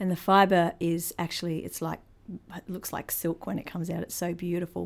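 A woman speaks in a New Zealand accent. Her pitch is fairly low. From New Zealand, born in Christchurch. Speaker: museum creative producer, Maori cultural specialist. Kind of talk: interview.

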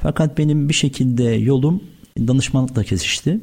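A man's somewhat breathy, dark, mellow tone with lively intonation at a fairly quick pace. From Turkey, Afyon. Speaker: food trade entrepreneur. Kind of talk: radio interview.

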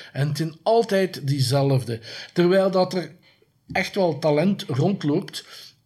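A man speaks at a very slow pace, somewhat breathy, with ordinary pitch variation. The recording is very clean, with a silent background. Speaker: horror filmmaker and streaming platform owner. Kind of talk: interview. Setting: at the guest's home or office. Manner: repeats words, halting.

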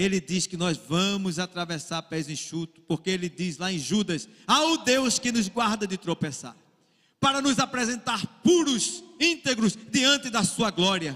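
With a high pitch and very wide pitch swings, a man speaks at a fairly slow pace. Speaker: pastor. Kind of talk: sermon.

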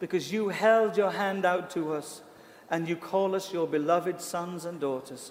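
A man speaks in a British accent with a high pitch. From Britain. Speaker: pastor. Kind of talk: sermon; prayer. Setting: church. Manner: animated.

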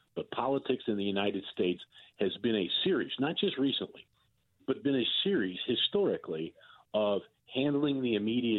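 A man in a normal speaking voice talks at a fairly quick pace with lively intonation. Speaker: political columnist. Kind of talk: casual chat about politics.

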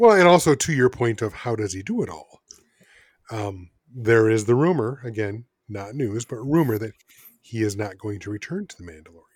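With an American accent, a man talks in an unremarkable speaking voice at medium pitch and a fairly quick pace, his intonation lively and his loudness swinging widely. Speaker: podcast co-host. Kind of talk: casual chat.

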